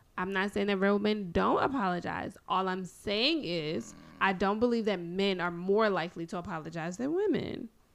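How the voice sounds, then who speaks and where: In an ordinary speaking voice, a woman talks at a moderate pace with hardly any pauses, medium pitch and ordinary pitch variation, against a quiet background. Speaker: guest co-talker. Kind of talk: casual banter debate.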